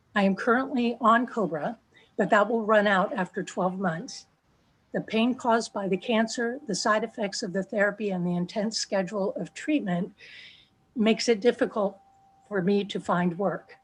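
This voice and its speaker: A woman speaks with a somewhat breathy voice. The background is quiet. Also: medium pitch for a woman, ordinary pitch variation, moderate pace. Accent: American. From New Jersey. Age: 60s. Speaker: patient sharing her story. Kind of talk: testimony. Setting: video call.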